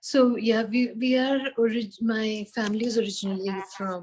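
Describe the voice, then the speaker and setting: At a moderate pace and a fairly high pitch, a woman with a Tamil accent sounds somewhat breathy, her intonation fairly even. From India, Hyderabad. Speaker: founder of a community space. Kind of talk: interview. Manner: calm.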